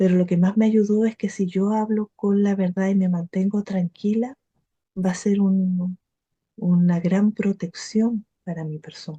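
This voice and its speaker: A woman speaks with a Chilean accent at a fairly slow pace and a medium pitch. Her voice is somewhat breathy, with a dark, mellow tone and monotone, flat intonation. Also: dry, close sound with no echo. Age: 50s. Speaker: spiritual teacher and meditation practitioner. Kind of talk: testimony.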